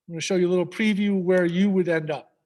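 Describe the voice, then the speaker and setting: Speaking with an American accent, a man has a high pitch. He moves at a fairly quick pace. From New York. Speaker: high school staff presenter. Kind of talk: presentation to parents with screen demo. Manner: fast; animated.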